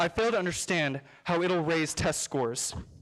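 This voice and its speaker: A normal speaking voice, moderate in pace and ordinary in pitch variation. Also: man. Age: 20s. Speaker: public commenter, college student. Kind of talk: public comment at school board meeting. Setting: school board meeting room.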